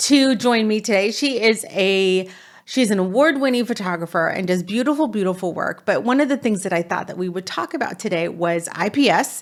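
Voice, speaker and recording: In a very clean recording with a silent background, a woman with a normal speaking voice talks at a moderate pace, fairly high in pitch, with lively intonation. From California. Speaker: business coach for photographers. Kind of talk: interview.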